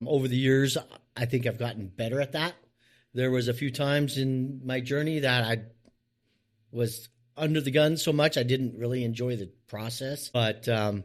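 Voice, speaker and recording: In a normal speaking voice with an American accent, a man talks at a moderate pace and medium pitch with fairly even intonation, on a very clean recording with a silent background. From US West Coast (Oregon), Mennonite community. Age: 60s. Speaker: business owner in the trades. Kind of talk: interview. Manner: casual, repetitive.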